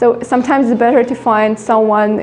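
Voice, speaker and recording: Her voice is high-pitched as the woman keeps a moderate pace over noticeable background noise. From Ukraine. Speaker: art teacher. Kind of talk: interview. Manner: hesitant, many fillers.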